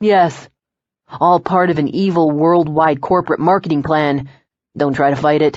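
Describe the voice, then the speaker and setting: This put-on character voice is husky and sits at a middle pitch. It moves at a moderate pace. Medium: read story. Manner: easygoing, joking.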